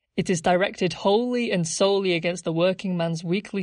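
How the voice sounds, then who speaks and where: A woman with an unremarkable speaking voice talks in a fairly low pitch with fairly even intonation. The background is quiet. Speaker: podcast narrator. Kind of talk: history documentary narration. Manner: measured, formal, scripted-sounding delivery; clear, explanatory, authoritative.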